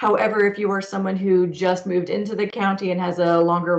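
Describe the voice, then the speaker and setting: In an ordinary speaking voice, a woman with a fairly low pitch talks at a moderate pace. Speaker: arts school coordinator. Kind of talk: online information session Q&A.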